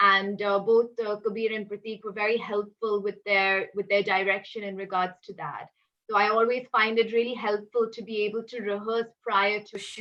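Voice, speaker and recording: In a non-native accent, the speaker keeps a monotone, flat intonation at a moderate pace, with big swings in loudness. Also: woman, medium pitch for a woman. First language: not Hindi. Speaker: actress. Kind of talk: casual interview.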